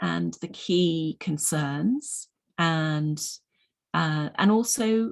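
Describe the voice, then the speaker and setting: A woman speaks with very wide swings in pitch. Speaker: mindfulness teacher. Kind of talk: online presentation. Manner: hesitant, many ums.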